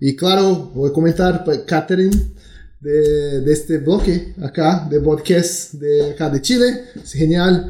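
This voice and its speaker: A very slow man's voice in a Brazilian accent, fairly high in pitch with ordinary pitch variation. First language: Portuguese (speaking Spanish). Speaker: tech company executive. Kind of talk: interview.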